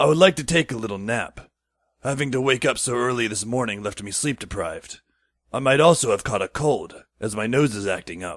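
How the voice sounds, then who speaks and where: A man puts on a raspy character voice at medium pitch. He moves at a fairly quick pace. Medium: audio drama. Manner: long-winded, casual.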